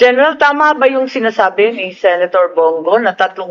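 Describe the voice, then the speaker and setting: A woman's lively intonation at a moderate pace, over noticeable background noise. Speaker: senate committee chair. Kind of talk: senate hearing questioning.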